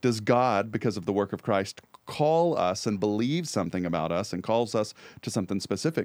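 On a very clean recording with a silent background, a man with a normal speaking voice talks at a moderate pace, his pitch fairly low and his intonation lively. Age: 30s. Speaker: church podcast co-host. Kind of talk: casual chat. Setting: studio.

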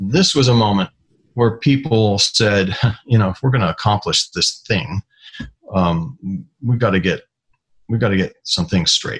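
A man speaks with a fairly low, somewhat breathy voice. Long, frequent pauses break up his speech. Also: ordinary pitch variation, moderate pace. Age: 60s. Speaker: retired aerospace scientist. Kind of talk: interview. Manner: halting.

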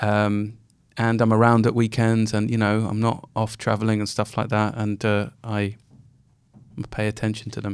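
Speaking in a fairly low pitch with monotone, flat intonation, a man keeps a moderate pace on a very clean recording with a silent background. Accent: London. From London. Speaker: podcast co-host. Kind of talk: casual chat.

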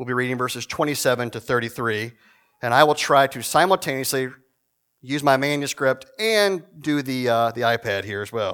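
A man with an American accent in a plain, everyday voice, medium in pitch, at a moderate pace with ordinary pitch variation. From Virginia, Shenandoah Valley. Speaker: guest preacher, church historian. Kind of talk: prayer; sermon. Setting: church service with congregation.

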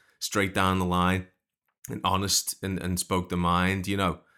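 In a very clean recording with a silent background, a man with a fairly low pitch and a bright, sharp tone speaks at a fairly quick pace. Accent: Liverpool. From Liverpool, England. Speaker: songwriter and podcast host. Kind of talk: casual interview chat.

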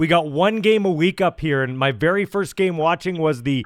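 Lively intonation from a man with a high-pitched voice. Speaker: radio host and podcaster. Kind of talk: interview intro and chat.

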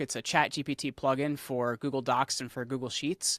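A man with a medium pitch and a plain, everyday voice speaks at a moderate pace in a dry, close recording with no echo. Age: 30s. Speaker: podcast host and media entrepreneur. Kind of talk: casual interview chat.

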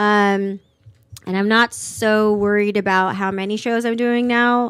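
A woman speaks at a fairly slow pace in a plain, everyday voice, her pitch medium. The recording is very clean, with a silent background. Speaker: stand-up comedian. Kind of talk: casual chat. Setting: studio.

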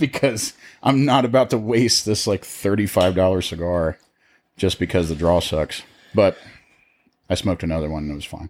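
A man with a very deep, low voice and an American accent speaks at a moderate pace with lively intonation. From Ohio. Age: 20s. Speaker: cigar company sales rep. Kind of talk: casual chat.

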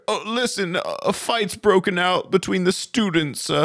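A man's put-on character voice, high-pitched and fairly slow

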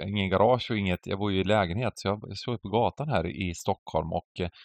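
Pitch rises and falls in an ordinary way. The delivery is fairly quick. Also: man. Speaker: poker podcast co-host. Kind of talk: casual chat. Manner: animated, loud ranting.

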